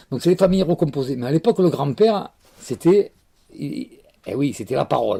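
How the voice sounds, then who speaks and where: Dark, mellow tone and lively intonation at a moderate pace, in a very clean recording with a silent background and a dry, close sound with no echo. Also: man. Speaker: Provençal storyteller. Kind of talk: telling a humorous folk tale. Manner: warm, nostalgic, expressive.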